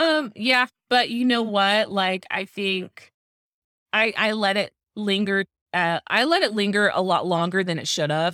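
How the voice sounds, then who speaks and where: Recorded very cleanly against a silent background, a woman with an American accent has a bright, sharp tone, medium pitch and ordinary pitch variation, in a dry, close sound with no echo. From Arizona, Tucson. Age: 30s. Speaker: content creator. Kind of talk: casual chat.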